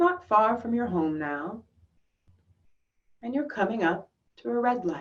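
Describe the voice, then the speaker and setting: The tone is calm and soothing, though the pitch makes very wide swings. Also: woman. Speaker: yoga teacher, meditation guide. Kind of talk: guided visualization meditation. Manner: slow, calm, soothing.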